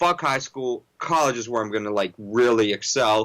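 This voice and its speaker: Bright and sharp in tone, a man's medium-pitched voice moves at a fairly quick pace with ordinary pitch variation in a very clean recording with a silent background. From moved as a child: Toronto, then Little Rock, Arkansas, then Pittsburgh. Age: 20s. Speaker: music artist and producer. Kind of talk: casual interview. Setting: studio. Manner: casual, filler-heavy.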